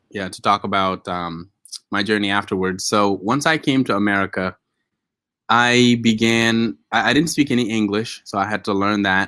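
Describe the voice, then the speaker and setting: In a bright, sharp tone, a man with fairly low pitch and ordinary pitch variation speaks at a moderate pace on a very clean recording with a silent background. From West Africa. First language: a West African native language. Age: young. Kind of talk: casual chat. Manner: hesitant, many fillers.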